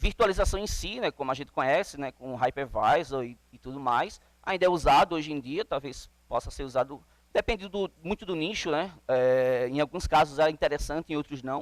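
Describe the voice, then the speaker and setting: A man speaks at a moderate pace in a plain, everyday voice. His pitch is fairly high with ordinary variation, and the sound is dry and close with no echo. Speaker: conference speaker on Linux containers. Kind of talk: conference talk.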